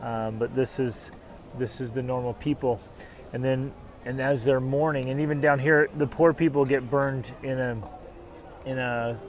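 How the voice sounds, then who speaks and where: A man speaks at a moderate pace in a monotone, flat intonation, with long, frequent pauses. The sound is dry with no echo, over light background noise. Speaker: travel vlogger. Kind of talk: casual vlog chat. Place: waterside. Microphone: lapel.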